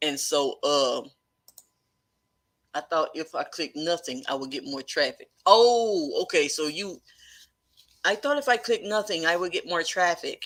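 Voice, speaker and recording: The speaker talks at a fairly slow pace in a Texan accent, with a relaxed tone and long, frequent pauses. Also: woman. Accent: Texan country. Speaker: live-stream host, online business coach. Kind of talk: casual live-stream chat. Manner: relaxed, conversational.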